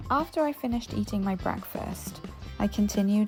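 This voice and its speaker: Music plays in the background as a woman with a Welsh accent speaks at a moderate pace. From Cardiff, Wales. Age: 30s. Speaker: English teacher. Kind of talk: casual vlog narration.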